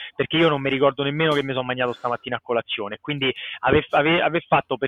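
Talking at a very fast pace, a man keeps his pitch fairly high. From Italy, Rome. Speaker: comic book artist. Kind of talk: casual interview. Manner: animated.

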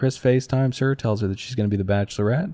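An animated man's voice at a medium pitch, with ordinary pitch variation over a quiet background. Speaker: podcast host. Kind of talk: casual comedic banter. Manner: joking, animated.

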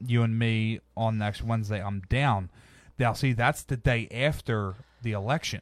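A man speaks in an ordinary speaking voice at a medium pitch and moderate pace, keeping his intonation fairly even. The recording is very clean, with a silent background. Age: 30s. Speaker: podcast host. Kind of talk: casual chat.

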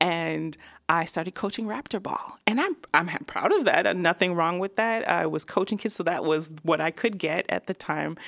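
A woman with a normal speaking voice and a fairly low pitch talks at a moderate pace with hardly any pauses. Her pitch varies in an ordinary way, and the sound is dry and close with no echo. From Toronto area, Canada. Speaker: video producer and creative director. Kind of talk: casual interview. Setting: studio.

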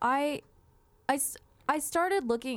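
At a moderate pace, the voice makes very wide pitch swings in a very clean recording with a silent background. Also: woman. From Moreno Valley, Southern California. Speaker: podcast host. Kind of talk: casual chat. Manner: animated.

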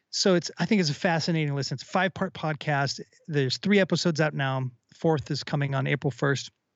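A man with a plain, everyday voice and an American accent talks at a fairly quick pace with hardly any pauses, his pitch fairly high and its variation ordinary. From US Midwest (Minnesota suburbs). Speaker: rock musician. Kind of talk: casual chat.

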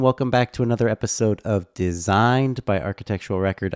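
Fairly low in pitch, a man talks at a fairly quick pace with ordinary pitch variation, in an unremarkable speaking voice. The sound is dry and close with no echo, on a very clean recording with a silent background. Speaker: podcast host. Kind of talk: scripted narration.

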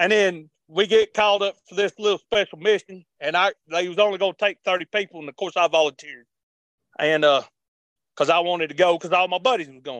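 This man has a high pitch and ordinary pitch variation, heard in a dry, close sound with no echo. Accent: Appalachian. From western North Carolina mountains. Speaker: army veteran. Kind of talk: interview. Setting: remote call.

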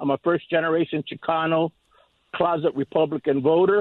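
A man with a normal speaking voice, fairly high in pitch, at a moderate pace. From California, US. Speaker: caller, retired worker. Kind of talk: call-in opinion. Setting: phone call.

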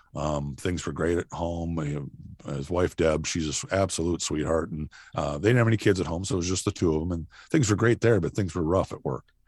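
A man with an American accent has a very deep, low pitch. He talks at a fairly quick pace. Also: ordinary pitch variation. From southeast Minnesota. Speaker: sheriff and former radio broadcaster. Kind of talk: interview.

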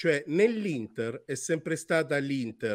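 Fairly high-pitched male speech, fairly slow and lively in intonation, a plain, everyday voice on a very clean recording with a silent background. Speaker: football pundit.

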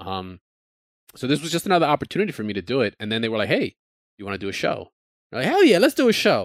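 In a very clean, dry and close recording with a silent background and no echo, a man talks very fast at a fairly high pitch, with very wide pitch swings, vocal fry, and long, frequent pauses. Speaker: podcast host. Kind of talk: casual chat. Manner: excitable.

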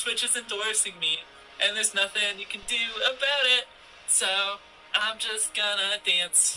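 Against noticeable background noise, a man in a raised, projected voice speaks at a high pitch and a fairly slow pace, with fairly even intonation. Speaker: gamer and streaming council member in clip. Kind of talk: replayed clip of online statement. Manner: emphatic, argumentative.

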